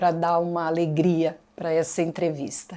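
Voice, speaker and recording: A woman with a dark, mellow tone speaks at a very slow pace in a very clean recording with a silent background. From Brazil, Santo André (São Paulo state). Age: 60s. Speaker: museum interviewee, former arts educator. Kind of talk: oral history interview.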